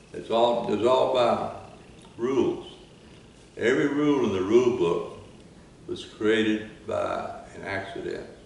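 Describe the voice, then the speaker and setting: A man with an American accent speaks fairly slowly, with long, frequent pauses and big swings in loudness. Noticeable background noise runs underneath. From Texas. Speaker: retired railroad worker. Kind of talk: oral history interview answer.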